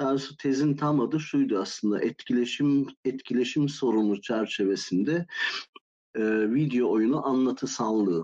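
Man at medium pitch, dark and mellow in tone, very even in loudness, with ordinary pitch variation and a moderate pace. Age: 50s. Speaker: game design academic. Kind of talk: casual interview. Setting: live Discord voice call.

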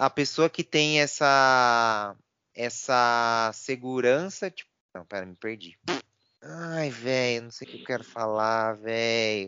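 The speech is very slow, with ordinary pitch variation and big swings in loudness. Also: man, medium pitch for a man. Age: 30s. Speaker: podcast co-host. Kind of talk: casual chat.

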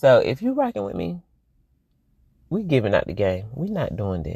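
In an animated tone, the speaker goes at a moderate pace against a quiet background. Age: 40s. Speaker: motivational vlogger. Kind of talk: motivational monologue.

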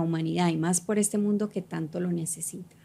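Her tone is dark and mellow, a little breathy. This woman's pitch moves in an ordinary way. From Colombia (Cali), childhood partly in New York. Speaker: fitness coach and entrepreneur. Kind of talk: casual interview chat. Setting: studio.

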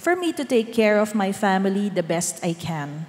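A woman with lively intonation talks at a moderate pace against noticeable background noise. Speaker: church member giving testimony. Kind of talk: testimony.

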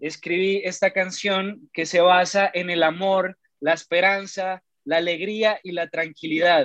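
Pitched high, a man's voice moves at a fairly slow pace. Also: dry, close sound with no echo. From Pasto, southern Colombia. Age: 20s. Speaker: singer-songwriter. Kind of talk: interview.

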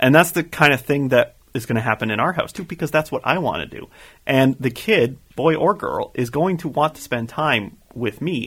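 With a Canadian accent, a man talks in an ordinary speaking voice, fairly high in pitch, with lively intonation at a moderate pace. He leaves hardly any pauses, and the recording is very clean with a silent background. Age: 20s. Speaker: podcast co-host. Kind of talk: casual chat.

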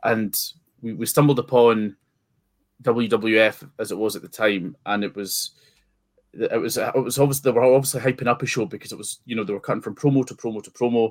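The speaker, with an eastern Scottish accent, talks at a fairly quick pace with fairly even intonation. Loudness swings widely in a very clean recording with a silent background. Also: man, medium pitch for a man. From Scotland, Forfar in Angus. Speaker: wrestling promoter. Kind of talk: interview. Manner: halting, many repetitions.

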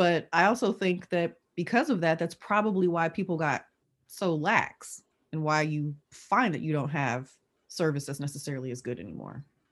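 A normal speaking voice with an American accent and lively intonation at a moderate pace, over a quiet background. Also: woman, fairly low pitch for a woman. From Oakland, California. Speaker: lawyer and tech executive. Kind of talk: casual interview chat.

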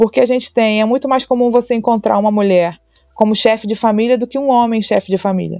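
Very fast and fairly high-pitched, this woman's voice has a dark, mellow tone and fairly even intonation in a dry, close recording with no echo. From Brazil, Rio de Janeiro. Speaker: labour court judge. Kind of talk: interview.

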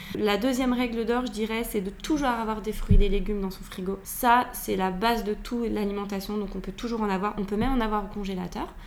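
Fairly quick speech with hardly any pauses and fairly even intonation, plus audible room echo and noticeable background noise. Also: woman, fairly high pitch for a woman. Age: 40s. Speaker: nutritionist. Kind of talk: casual interview. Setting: at her home.

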